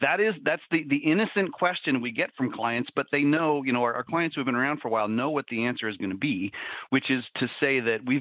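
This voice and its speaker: In an ordinary speaking voice, a man talks at a fairly quick pace with a medium pitch and lively intonation. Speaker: financial advisor. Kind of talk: casual chat.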